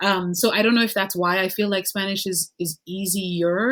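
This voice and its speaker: A woman talks at a moderate pace with ordinary pitch variation. Hers is an unremarkable speaking voice. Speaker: podcast host and language teacher. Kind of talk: casual interview chat. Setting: video call.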